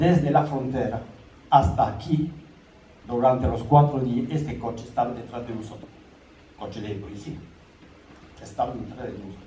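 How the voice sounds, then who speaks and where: The speech moves at a moderate pace with long, frequent pauses, big swings in loudness and ordinary pitch variation. Noticeable background noise and audible room echo come through. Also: man, medium pitch for a man. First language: French (speaking Spanish). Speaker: son of exiled republican. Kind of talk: public talk. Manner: halting.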